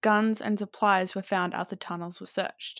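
The recording of this woman's speech is very clean, with total silence behind her. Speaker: podcast co-host. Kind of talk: casual chat with scripted segments. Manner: conversational, relaxed.

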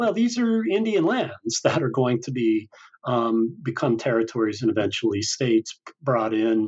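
This man has an American accent and a medium pitch with ordinary variation. He keeps a moderate pace at very even loudness. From Utah, US (Salt Lake City). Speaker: history professor and author. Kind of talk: interview. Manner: halting, many fillers.

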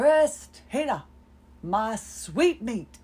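In a put-on character voice, a woman speaks at a fairly high pitch with very wide pitch swings.

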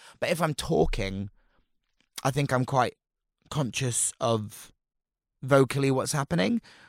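A man with a Portsmouth accent speaks at a medium pitch with lively intonation in a very clean recording with a silent background. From Portsmouth, southern England. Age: 30s. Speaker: drag performer. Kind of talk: casual chat.

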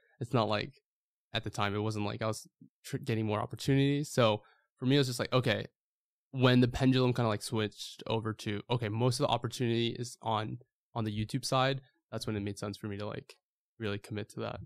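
With an American accent, a man speaks very fast at a medium pitch and fairly even intonation, in a dry, close sound with no echo on a very clean recording with a silent background. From US, New York. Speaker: YouTuber and clothing brand owner. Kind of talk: casual chat.

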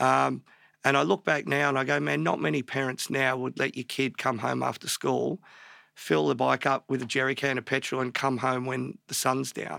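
A man speaks in an Australian accent at a moderate pace, in a very clean recording with a silent background and a dry, close sound with no echo. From Australia, Melbourne northern suburbs. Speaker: tattoo artist. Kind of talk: casual interview chat.

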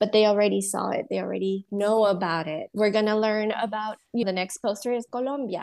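This woman's medium-pitched voice moves at a fairly quick pace, the sound dry and close with no echo. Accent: Spanish. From Honduras. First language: Spanish. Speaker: counselor and bilingual education business owner. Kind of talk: interview.

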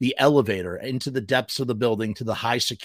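This is an unforced reading voice. It reads aloud.

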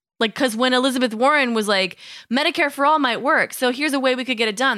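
In an American accent, a woman speaks at a high pitch in a raised, projected voice. Her pace is very fast, with ordinary pitch variation. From US Midwest. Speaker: podcast co-host. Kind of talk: casual chat.

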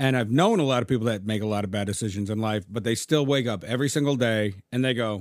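A man's medium-pitched, ordinary speaking voice, fairly quick and with lively intonation. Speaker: podcast co-host. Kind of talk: casual chat. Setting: studio.

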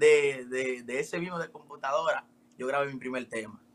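A man is speaking here. He has a Dominican accent. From Dominican Republic. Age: 20s. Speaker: rapper. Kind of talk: interview. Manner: casual.

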